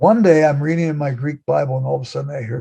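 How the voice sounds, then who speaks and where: Talking very fast with a Californian accent, a man sounds somewhat breathy and animated, his fairly high voice showing ordinary pitch variation. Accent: General American (California). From Los Angeles, California. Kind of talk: podcast interview. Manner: animated storytelling.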